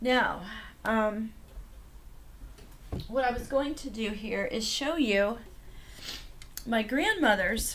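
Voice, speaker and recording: A woman speaks at a fairly slow pace, her fairly high pitch showing ordinary variation, while noticeable background noise fills the recording. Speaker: novice ukulele player. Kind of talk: casual product review to camera. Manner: hesitant, many fillers.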